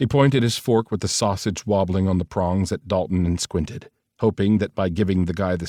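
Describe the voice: Plain reading aloud, set against a quiet background.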